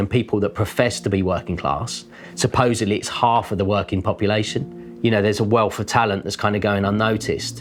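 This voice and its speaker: Over music in the background, a man with a London accent speaks very fast at a fairly low pitch, keeping his intonation fairly even. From London (Deptford). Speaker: artist. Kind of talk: documentary interview. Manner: hesitant, filler-heavy.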